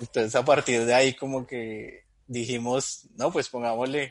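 A man's medium-pitched voice stays fairly even in intonation as he talks fairly slowly. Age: 30s. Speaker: Bible teacher and comedy video creator. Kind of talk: casual chat.

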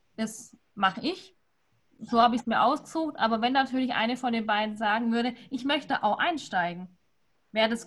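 A woman with an unremarkable speaking voice and a fairly high pitch talks at a moderate pace with ordinary pitch variation. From Württemberg, near Stuttgart. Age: 20s. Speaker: winemaker. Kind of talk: casual online wine tasting talk.

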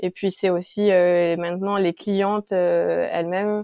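In a very clean recording with a silent background and a dry, close sound with no echo, a woman speaks fairly slowly at medium pitch, her tone dark and mellow and her intonation monotone and flat. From Paris suburbs (Sarcelles, Val-d'Oise). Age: 30s. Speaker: entrepreneur, care centre founder. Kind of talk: interview.

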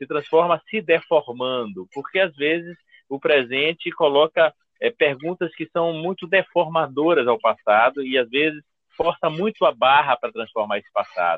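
Speaking at a moderate pace with ordinary pitch variation, a man uses a normal speaking voice that sits fairly high in pitch. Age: 50s. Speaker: history professor. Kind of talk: interview.

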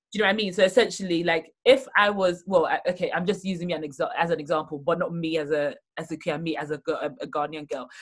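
Very fast and fairly low in pitch, a woman speaks with ordinary pitch variation. The recording is very clean, with a silent background. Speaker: podcast host. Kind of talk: casual interview.

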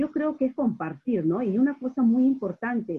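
A woman speaks with a Peruvian accent. Her pace is fairly slow and her intonation lively. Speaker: radio host and business coach. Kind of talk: interview.

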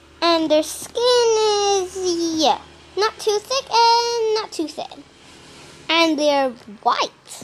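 Her pitch extremely high, a woman speaks very slowly with lively intonation. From Australia. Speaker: wildlife podcast host. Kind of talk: casual nature-show narration. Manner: animated.

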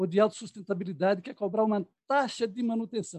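The speech moves at a fairly quick pace with ordinary pitch variation, in a dry, close sound with no echo. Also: man. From Bahia, Brazil. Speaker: filmmaker, historian, film club activist. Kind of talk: historical talk on panel.

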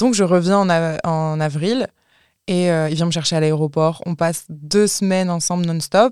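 Delivered at a fairly slow pace, this is an ordinary speaking voice with ordinary pitch variation. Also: woman, fairly low pitch for a woman. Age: 20s. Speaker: content creator and podcaster. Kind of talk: casual chat.

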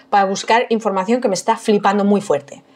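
A woman with a Madrid accent and a fairly high pitch. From Madrid, Spain. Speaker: food historian and archaeologist. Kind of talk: casual chat.

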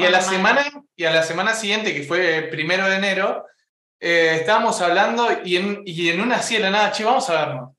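Raised, projected high-pitched man's voice at a moderate pace, with ordinary pitch variation and audible room echo. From Uruguay. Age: 20s. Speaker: content creator. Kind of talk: casual chat.

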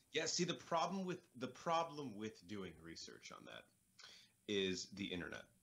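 The speaker's voice has vocal fry and very wide pitch swings. The pace is moderate. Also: man, medium pitch for a man. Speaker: podcast co-host. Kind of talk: casual movie commentary banter. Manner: joking, profane, animated.

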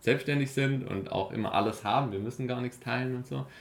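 At a fairly quick pace, a man talks in a normal speaking voice with ordinary pitch variation. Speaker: long-distance cyclist and project founder. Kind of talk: casual interview. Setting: studio over breakfast.

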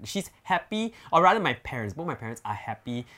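Bright and sharp in tone, the voice has a Singaporean accent, very wide pitch swings and a moderate pace. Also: man, very clean recording, silent background. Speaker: influencer. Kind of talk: casual chat.

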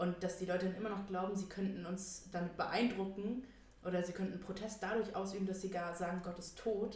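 A flat, monotone voice amid noticeable background noise and audible room echo. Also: woman, medium pitch for a woman. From Thuringia, Germany (Erfurt). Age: 20s. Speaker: podcast co-host. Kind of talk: casual chat. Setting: home, at a table in the living room.

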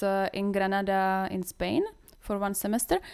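The recording is very clean, and nothing can be heard behind it. Her voice sits at a medium pitch for a woman. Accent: Czech. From Czech Republic, Brno. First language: Czech. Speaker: workshop participant. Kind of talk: casual chat.

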